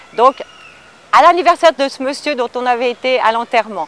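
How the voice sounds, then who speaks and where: The intonation is lively. The sound is dry and close, with no echo. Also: woman. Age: 60s. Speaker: film extra. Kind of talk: casual anecdote telling.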